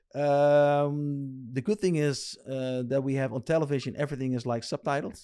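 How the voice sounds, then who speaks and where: A man with a Dutch accent speaks in a fairly high pitch with a dark, mellow tone. His pace is moderate, his intonation fairly even, and he hardly pauses. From Netherlands. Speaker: RC lowrider builder. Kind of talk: casual interview chat. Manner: halting.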